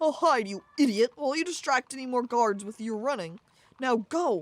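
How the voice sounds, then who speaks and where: Using a put-on character voice, a woman speaks with a high pitch, hissing, at a moderate pace. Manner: hissing, urgent.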